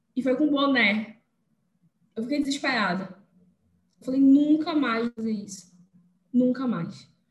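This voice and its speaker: A high-pitched woman's voice at a moderate pace. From Belém, Pará, northern Brazil. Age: 20s. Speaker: engineer and youth leader. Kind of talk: podcast interview testimony.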